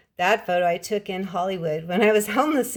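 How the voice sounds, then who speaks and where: A woman speaks at a fairly quick pace with a slight Californian accent. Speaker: writer and English teacher. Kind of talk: casual vlog showing her books.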